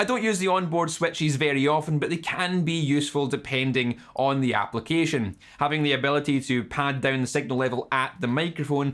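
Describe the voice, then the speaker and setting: With a Scottish accent, a man speaks at a moderate pace in a fairly high pitch, using ordinary pitch variation. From Scotland. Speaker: YouTube guitar channel host. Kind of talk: scripted narration. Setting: home studio.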